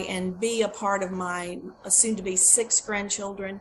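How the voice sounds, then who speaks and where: Over noticeable background noise, a woman talks at a moderate pace in a flat, monotone way. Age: 60s. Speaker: product testimonial giver. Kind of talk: testimony. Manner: halting.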